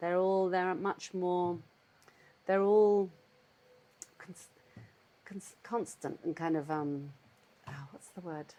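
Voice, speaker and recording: With a southern English accent, a woman speaks very slowly in a fairly low, dark, mellow tone, leaving long, frequent pauses. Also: ordinary pitch variation. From London, England. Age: 60s. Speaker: cheesemaker. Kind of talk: casual interview chat. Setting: at home. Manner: halting, searching for words.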